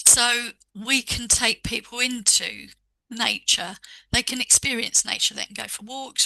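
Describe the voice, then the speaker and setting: In a dry, close sound with no echo, a woman with a bright, sharp tone and fairly high pitch speaks fairly slowly, with vocal fry, monotone, flat intonation and big swings in loudness. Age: 60s. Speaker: Reiki master and author. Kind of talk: casual chat.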